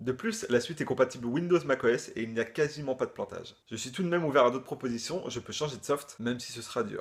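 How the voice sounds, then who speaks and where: At a very fast pace, a man speaks with big swings in loudness and ordinary pitch variation. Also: medium pitch for a man, hardly any pauses. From Brittany, France. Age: 20s. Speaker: freelance video editor. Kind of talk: video job application.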